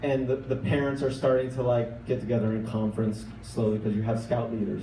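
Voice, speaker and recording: Using an unremarkable speaking voice, a man talks at a fairly quick pace and medium pitch with fairly even intonation. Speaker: storyteller. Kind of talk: live storytelling performance. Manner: casual, conversational.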